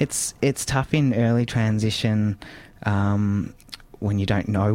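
A man with an Australian accent, fairly low pitch, ordinary pitch variation and a very slow pace. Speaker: radio host. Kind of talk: casual interview chat.

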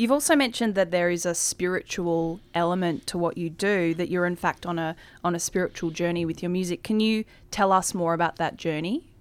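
With an Australian accent, a woman talks at a fairly quick pace in a fairly low pitch, her pitch varying in an ordinary way, on a very clean recording with a silent background. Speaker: radio host. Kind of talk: casual interview.

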